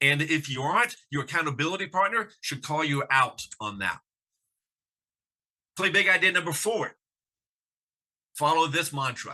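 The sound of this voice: Lively intonation and a bright, sharp tone mark this man's fairly high-pitched voice.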